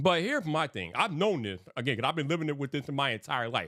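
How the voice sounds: Talking at a very fast pace, the man gives his words lively intonation. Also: fairly bright tone, very clean recording, silent background.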